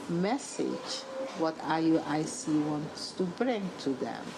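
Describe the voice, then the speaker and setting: A woman with fairly low pitch and noticeable background noise. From Suriname. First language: Dutch. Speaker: journalist and author. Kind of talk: interview.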